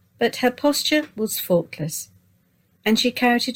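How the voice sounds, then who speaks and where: A woman talks fairly slowly, her voice somewhat breathy. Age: 70s. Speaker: narrator. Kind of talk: reading aloud. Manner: formal.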